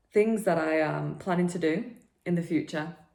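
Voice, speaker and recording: A woman speaks at a fairly low pitch with a northern English accent. Audible room echo surrounds her voice. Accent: broad northern English. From northern England, Preston. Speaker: personal trainer and podcast host. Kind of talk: casual podcast monologue.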